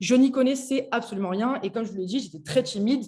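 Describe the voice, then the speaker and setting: Talking at a fairly quick pace, a woman uses a fairly high pitch with ordinary variation and a dark, mellow tone. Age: 20s. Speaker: network marketing entrepreneur. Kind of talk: personal story on video call. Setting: video call.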